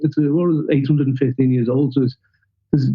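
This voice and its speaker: The speaker has a Liverpool accent. The intonation is fairly even. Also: man. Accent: Liverpool (Scouse). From Liverpool, England. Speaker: documentary filmmaker. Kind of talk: podcast interview answer.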